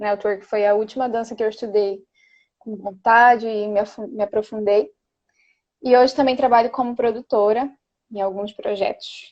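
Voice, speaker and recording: The woman's pitch is fairly high, and her intonation fairly even. She moves at a moderate pace with long, frequent pauses. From Belém do Pará, northern Brazil. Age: 20s. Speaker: dancer and dance teacher. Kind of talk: casual interview.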